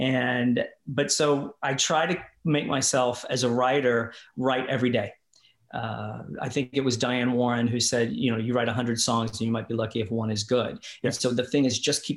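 In a very clean recording with a silent background, a man with an American accent uses a normal speaking voice at medium pitch, a moderate pace, and fairly even intonation. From Kentucky/Indiana, US. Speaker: musician, singer and performer. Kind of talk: casual interview chat.

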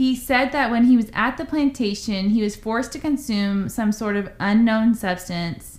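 A woman's somewhat breathy, fairly high voice with ordinary pitch variation and hardly any pauses. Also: moderate pace. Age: 30s. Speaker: podcast co-host. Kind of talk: casual chat, storytelling.

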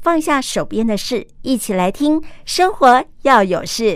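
On a very clean recording with a silent background, a woman speaks fairly slowly in a high voice with lively intonation. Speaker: podcast host. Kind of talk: interview. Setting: on location at a community cafe.

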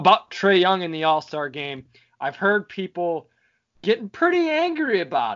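The speaker has an American accent and moves at a moderate pace. The voice shows very wide pitch swings and big swings in loudness. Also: man, high pitch for a man. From Michigan (Detroit). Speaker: sports podcast co-host, college athlete. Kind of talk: casual chat.

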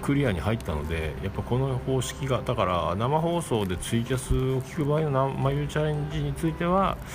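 A man at a medium pitch and moderate pace with hardly any pauses and very wide pitch swings, amid audible room echo and noticeable background noise. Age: 40s. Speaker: solo podcaster. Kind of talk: casual solo monologue. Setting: home studio. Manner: halting, many fillers.

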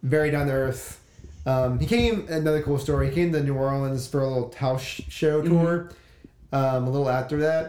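Fairly quick male speech with ordinary pitch variation, audible room echo and noticeable background noise. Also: fairly high pitch for a man. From Louisiana (Baker/Zachary area). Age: 30s. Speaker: musician. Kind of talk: casual chat.

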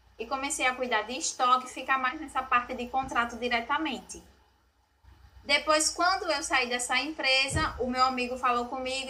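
Raised, projected voice from a woman, high in pitch, with fairly even intonation at a moderate pace. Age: 20s. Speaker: real estate office strategy manager. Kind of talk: podcast interview.

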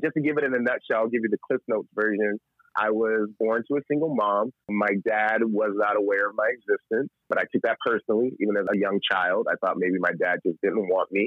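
An unremarkable speaking voice moves at a fairly quick pace with ordinary pitch variation and very even loudness. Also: man, medium pitch for a man. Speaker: singer and songwriter. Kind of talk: interview chat. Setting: phone call.

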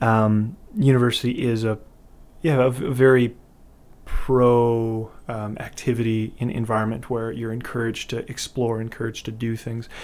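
With a Canadian prairie accent, a man at medium pitch speaks at a moderate pace with fairly even intonation. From Canada, Winnipeg, Manitoba. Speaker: touring singer-songwriter. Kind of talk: interview. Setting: studio. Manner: hesitant with frequent fillers.

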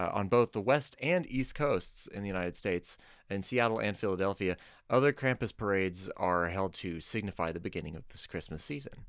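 A man with an unremarkable speaking voice talks at a fairly quick pace and fairly low pitch with ordinary pitch variation, recorded very cleanly against a silent background. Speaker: guest, logo designer.

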